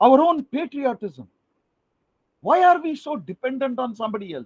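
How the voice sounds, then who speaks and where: A man speaks at an extremely high pitch and a moderate pace, with lively intonation and an animated tone. The sound is dry and close, with no echo. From India. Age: 60s. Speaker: retired professor. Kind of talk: lecture.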